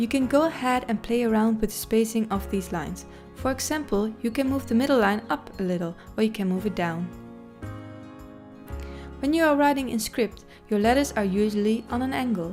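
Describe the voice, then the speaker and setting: Over music in the background, a woman with a fairly high pitch speaks with long, frequent pauses. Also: ordinary pitch variation, fairly quick pace. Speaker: hand lettering tutor. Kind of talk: tutorial voice-over. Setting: home recording, USB microphone. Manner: fast.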